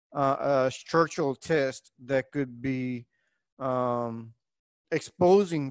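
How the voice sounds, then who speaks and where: With a Spanish accent, a man speaks at a fairly high pitch with ordinary pitch variation, the sound dry and close with no echo. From Puerto Rico. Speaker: engineering professor. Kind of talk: lecture. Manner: hesitant, many fillers.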